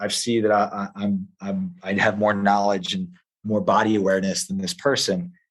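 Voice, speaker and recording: With a Philadelphia accent, a man speaks at a moderate pace in a fairly low pitch with ordinary pitch variation. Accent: Philadelphia-area American English. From US Northeast, Philadelphia area. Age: 40s. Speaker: jiu-jitsu coach. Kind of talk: podcast interview. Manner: hesitant, many fillers and restarts.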